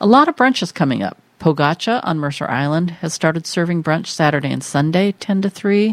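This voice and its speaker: A woman with an ordinary speaking voice talks at a fairly low pitch and a fairly quick pace. Her intonation is lively, with hardly any pauses. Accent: American. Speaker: podcast co-host and editor. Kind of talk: casual chat, radio-style show.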